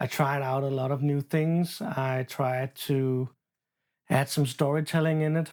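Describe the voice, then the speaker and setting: On a very clean recording with a silent background, the speaker goes at a fairly slow pace. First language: not English. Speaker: booktuber and horror novelist. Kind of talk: casual unscripted book chat vlog. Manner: halting, stumbles over words.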